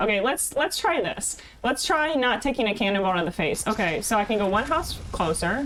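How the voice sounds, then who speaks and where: A woman with an American accent speaks in a fairly high, animated voice at a fairly quick pace, her pitch swinging very widely over noticeable background noise. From Ohio. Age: 30s. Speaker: streamer. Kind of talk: casual chat. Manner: soft-spoken.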